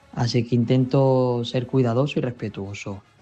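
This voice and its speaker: A man's flat, monotone delivery over background music. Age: young. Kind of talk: radio interview answer.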